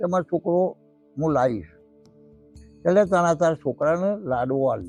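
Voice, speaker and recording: A man speaks at a fairly high pitch with ordinary pitch variation, music playing in the background. The sound is dry and close, without echo. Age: old. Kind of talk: folk tale storytelling.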